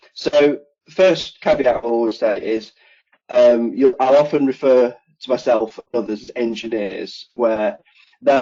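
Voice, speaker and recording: A man with an English Midlands accent talks at a medium pitch with ordinary pitch variation. Music plays in the background. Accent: British (English Midlands). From England, Nottingham (East Midlands). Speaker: HVAC engineer. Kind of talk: podcast interview.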